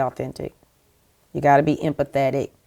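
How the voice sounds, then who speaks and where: A woman with a South Carolina accent speaks in a very deep, low pitch and a dark, mellow tone, the sound dry and close with no echo in a very clean recording with a silent background. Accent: Southern US (South Carolina). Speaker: TV network executive. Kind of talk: interview.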